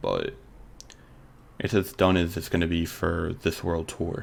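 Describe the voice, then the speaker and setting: Vocal fry runs through a man's very deep, low voice. He speaks at a fairly slow pace. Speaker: gaming YouTuber. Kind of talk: gameplay commentary. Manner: animated.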